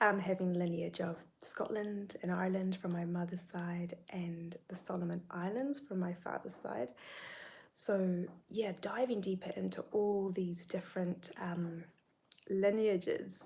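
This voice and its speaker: A woman with a New Zealand accent speaks fairly slowly at medium pitch, somewhat breathy and with ordinary pitch variation. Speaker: spiritual content creator. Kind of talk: livestream monologue. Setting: YouTube live stream.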